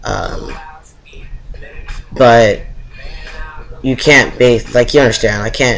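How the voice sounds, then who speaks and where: The pace is moderate as this man talks. Background noise is clearly noticeable. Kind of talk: casual talk to camera.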